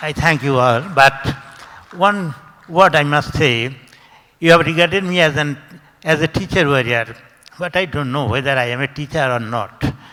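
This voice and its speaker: Noticeable background noise behind a man's fairly high voice, ordinary pitch variation, moderate pace and long, frequent pauses. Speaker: school director. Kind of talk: acceptance speech. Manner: halting.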